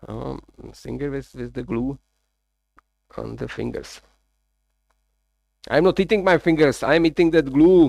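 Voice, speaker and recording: A man talks at a fairly slow pace, with long, frequent pauses and big swings in loudness. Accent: Czech. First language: Czech. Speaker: live streamer, workshop builder. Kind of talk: casual live-stream chat while working.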